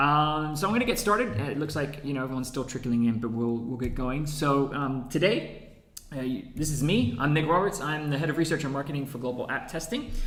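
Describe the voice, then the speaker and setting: Talking very fast with an American accent, a man with a fairly high pitch and ordinary pitch variation is heard over noticeable background noise and audible room echo. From United States. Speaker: head of research and marketing, webinar host. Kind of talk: webinar presentation. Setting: echoey room.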